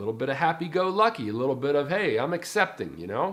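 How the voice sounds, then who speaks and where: Vocal fry runs through this man's fairly high-pitched voice. His pitch swings very widely. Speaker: personal development coach. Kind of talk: casual talk to camera.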